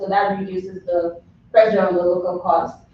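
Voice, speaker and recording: Over noticeable background noise, a woman talks at a moderate pace with a medium pitch and a monotone, flat intonation. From Nigeria. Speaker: nutrition educator. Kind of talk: public presentation at board meeting. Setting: county board meeting.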